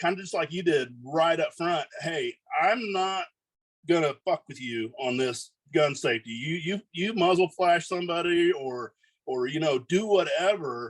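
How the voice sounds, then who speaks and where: Loud and high-pitched, a man speaks at a fairly slow pace with lively intonation. The sound is dry and close, with no echo. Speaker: gun shop owner. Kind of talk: casual chat. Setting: podcast.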